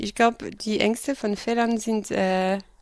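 A woman speaks at a medium pitch. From France. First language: French (speaking German). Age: 30s. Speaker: business professional, former au pair. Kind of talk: casual interview. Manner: hesitant, many fillers.

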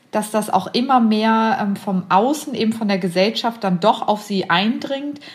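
A woman's plain, everyday voice, fairly high and fairly slow, with ordinary pitch variation. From Braunschweig, Lower Saxony, Germany. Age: 30s. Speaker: intensive care nurse. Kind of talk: casual chat. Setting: video call.

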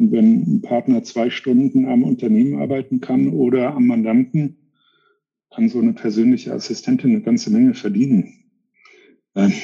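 Long, frequent pauses from a man talking at a moderate speed. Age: 50s. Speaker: tax firm founder and CEO. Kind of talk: interview.

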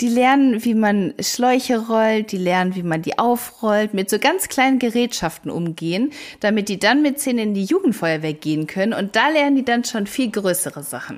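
An unremarkable speaking voice, a woman's, fairly high in pitch, with lively intonation, a moderate pace and hardly any pauses. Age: 30s. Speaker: firefighter. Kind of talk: interview.

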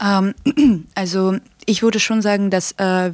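A woman talks at a fairly slow pace with fairly even intonation. The sound is dry and close with no echo, on a very clean recording with a silent background. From Ukraine, Kharkiv. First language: Ukrainian or Russian (speaking German). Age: 18. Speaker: student activist. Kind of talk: podcast interview. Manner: hesitant, many fillers.

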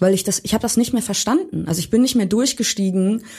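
A woman talks at a fairly quick pace with lively intonation. Her tone is dark and mellow, and somewhat breathy. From Hamburg, Germany. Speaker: pop musician. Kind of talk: casual interview.

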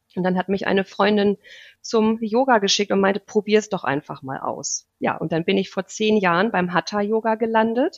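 A woman speaks at a medium pitch and a moderate pace. The sound is dry and close, with no echo. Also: ordinary pitch variation. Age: 40s. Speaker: yoga teacher. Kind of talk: interview. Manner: hesitant with many fillers.

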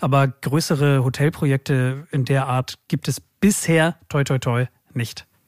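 On a very clean recording with a silent background, a man with a plain, everyday voice speaks at a fairly high pitch and fairly slow pace with fairly even intonation. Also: dry, close sound with no echo. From Germany, Hamburg. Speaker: podcast host. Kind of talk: casual chat.

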